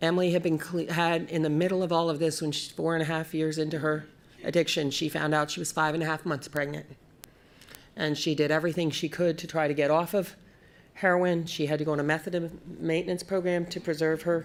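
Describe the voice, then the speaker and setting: A woman's fairly low voice at a very fast pace, with monotone, flat intonation. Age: 60s. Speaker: grandmother caregiver, family lawyer. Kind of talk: testimony.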